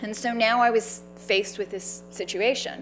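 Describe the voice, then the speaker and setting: A woman speaks with a Canadian accent. Music plays in the background. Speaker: cancer survivor and patient advocate. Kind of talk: public talk. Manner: loud.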